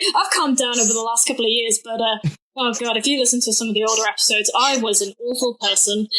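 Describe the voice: A woman speaks quickly with a bright, sharp tone and a fairly high pitch. Her intonation stays fairly even.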